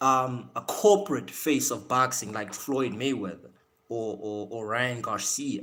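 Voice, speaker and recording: A man with a medium pitch speaks at a fairly slow pace in a bright, sharp, animated tone with lively intonation. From South Africa. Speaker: boxing live-stream host. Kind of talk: casual live-stream chat. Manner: repetitive, stammering restarts.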